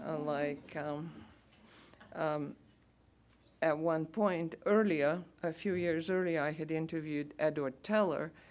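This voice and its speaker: In a Bulgarian accent, a woman with a very deep, low pitch speaks at a very slow pace with ordinary pitch variation. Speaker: radio announcer. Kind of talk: lecture talk to audience.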